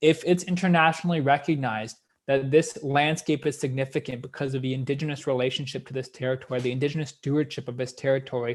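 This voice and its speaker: With a Canadian accent, a man talks very fast, barely pausing, in a somewhat breathy, fairly high voice. His intonation is fairly even, and the recording is very clean with a silent background. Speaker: history professor. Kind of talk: lecture. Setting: live-streamed lecture.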